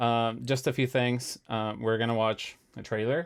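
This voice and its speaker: A man with a non-native accent speaks at a moderate pace and medium pitch. The recording is very clean, with a silent background. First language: not English. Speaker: music composer streamer. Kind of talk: live stream chat. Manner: halting, many fillers.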